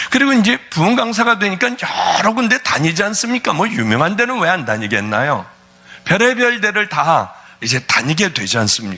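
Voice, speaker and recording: A man's high-pitched, raised and projected voice, animated in tone, with very wide pitch swings, very even loudness and noticeable background noise. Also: fairly quick pace. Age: 60s. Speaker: pastor. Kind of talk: sermon.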